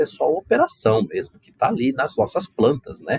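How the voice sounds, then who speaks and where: The sound is dry and close, with no echo but noticeable background noise. A man speaks at a moderate pace. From Brazil. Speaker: corporate ethics manager. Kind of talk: podcast interview.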